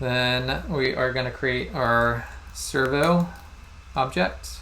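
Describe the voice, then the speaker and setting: A man speaking at a very slow pace, with audible room echo. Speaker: instructor. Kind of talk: lecture.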